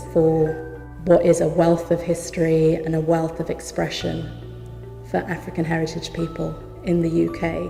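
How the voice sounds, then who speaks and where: Music sounds behind a woman who speaks rather slowly. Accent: southern English. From Oxford, England. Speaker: actor and storyteller. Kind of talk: interview answer.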